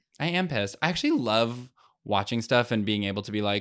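A man speaks at a fairly low pitch with a plain, everyday voice. His pace is fairly quick. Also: very clean recording, silent background. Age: 20s. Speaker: comedian and podcast host. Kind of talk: casual chat. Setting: studio.

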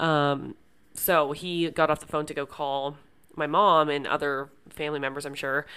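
On a very clean recording with a silent background, a woman with a very deep, low pitch talks at a moderate pace in a monotone, flat intonation. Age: 20s. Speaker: podcast host. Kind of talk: personal monologue. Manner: hesitant, many fillers.

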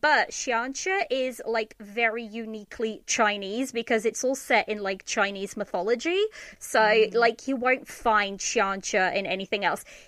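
An ordinary speaking voice moves at a fairly slow pace with ordinary pitch variation. There are hardly any pauses. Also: woman, fairly high pitch for a woman. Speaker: podcaster, drama reviewer. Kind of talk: casual chat. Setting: remote recording.

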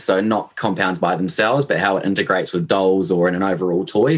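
A man speaks with a New Zealand accent. His pitch is very deep and low. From New Zealand, Hamilton. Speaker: e-commerce manager at a toy company. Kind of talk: podcast interview. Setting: remote call.

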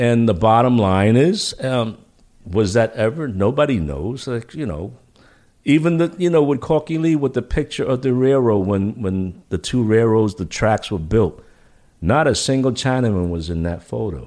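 A man with a New York accent, dark, mellow tone, very wide pitch swings, moderate pace, very clean recording with a silent background. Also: medium pitch for a man. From New York City. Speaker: military veteran and former career advisor. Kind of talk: casual chat. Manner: halting.

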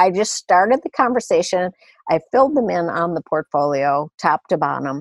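A woman with an unremarkable speaking voice talks at medium pitch and a moderate pace, with lively intonation and a dry, close sound with no echo. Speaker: retired real estate executive. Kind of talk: casual interview conversation.

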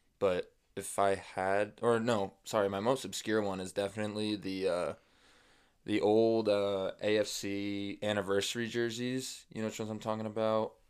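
With an American accent, a man speaks at a moderate pace in a fairly low, monotone, flat voice, recorded very cleanly against a silent background. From Nebraska, US Midwest. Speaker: sports podcast co-host. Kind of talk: casual chat.

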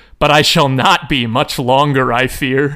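A man speaks in a put-on character voice, croaky and medium in pitch. His intonation stays fairly even at a moderate pace.

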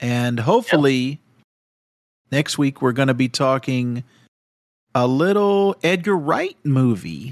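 A man speaks very slowly at a medium pitch, with lively intonation and long, frequent pauses. His loudness stays very even, and the sound is dry and close with no echo. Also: very clean recording, silent background. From France. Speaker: podcast host. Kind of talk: casual chat.

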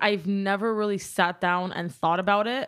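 Speaking at a moderate pace, a woman with a Californian accent has a medium-pitched voice. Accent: Californian American English. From Southern California. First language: Armenian. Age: 20s. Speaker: social media content creator. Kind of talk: casual chat. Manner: talkative; energetic.

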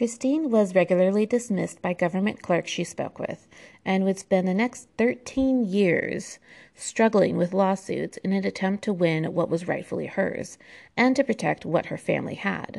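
Over a quiet background, a woman with an American accent speaks in a plain, everyday voice at medium pitch, with ordinary pitch variation and a moderate pace. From United States. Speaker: history podcaster. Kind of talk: solo history narration. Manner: casual with frequent fillers and laughs.

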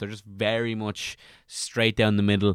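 A man with an Irish accent speaks at a fairly low pitch. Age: 20s. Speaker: comedian and YouTuber. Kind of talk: casual chat.

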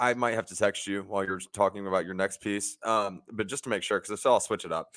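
Over a silent background on a very clean recording, a man speaks at a very fast pace. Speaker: podcast host. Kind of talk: casual sports talk show. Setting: live stream. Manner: talks fast; stuttering.

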